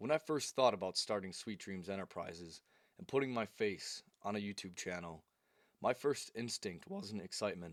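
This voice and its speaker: A man's fairly low voice moves at a moderate pace with ordinary pitch variation, on a very clean recording with a silent background. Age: 20s. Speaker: YouTuber and self-help creator. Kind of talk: motivational talk to camera. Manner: animated.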